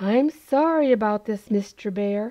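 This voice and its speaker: Putting on a character voice, a woman talks at a moderate pace with a fairly high pitch. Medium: read story. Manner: warm, affectionate.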